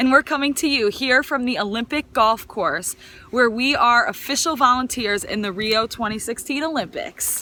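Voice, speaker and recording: Against noticeable background noise, a woman with an American accent speaks at a moderate pace in a high pitch with ordinary pitch variation. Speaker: alumna, volunteer. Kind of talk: casual video message. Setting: outdoors.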